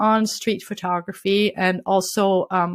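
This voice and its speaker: A woman with a French accent, on a very clean recording with a silent background. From France. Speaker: street photographer and workshop leader. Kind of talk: interview.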